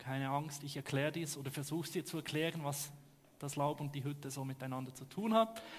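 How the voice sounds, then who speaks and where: Talking at a very fast pace, a man sounds somewhat breathy. His pitch varies in an ordinary way. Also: fairly high pitch for a man. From Switzerland. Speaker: pastor. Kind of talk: sermon.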